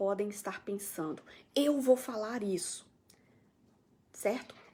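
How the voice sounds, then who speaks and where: A woman with a medium pitch speaks in an animated tone. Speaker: mental health program coordinator. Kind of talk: live stream talk answering viewer comments. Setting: Facebook live stream.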